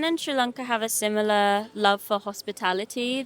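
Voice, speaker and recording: Against noticeable background noise, a woman with a London accent talks at a moderate pace and a high pitch. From London, England. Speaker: singer. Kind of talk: interview.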